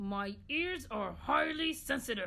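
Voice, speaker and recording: A female-sounding, put-on character voice speaks at a fairly high pitch and a fairly slow pace. Background noise is clearly heard. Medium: read story. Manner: formal, fussy.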